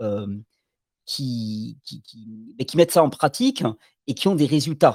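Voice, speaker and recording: Speaking at a fairly slow pace, a man with a fairly high pitch uses lively intonation, captured in a very clean recording with a silent background and a dry, close sound with no echo. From Catalonia (French Catalan mountains). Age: 40s. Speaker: alternative health promoter. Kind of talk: interview. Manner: halting, frequent repetitions.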